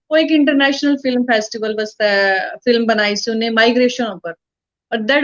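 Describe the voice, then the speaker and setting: A woman with an ordinary speaking voice, fairly high in pitch, with ordinary pitch variation. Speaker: actress and author. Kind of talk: interview.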